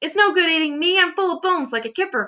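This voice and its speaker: A woman uses a put-on character voice, shrill and extremely high in pitch. She talks very fast with lively intonation. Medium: read story. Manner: shrill, wailing.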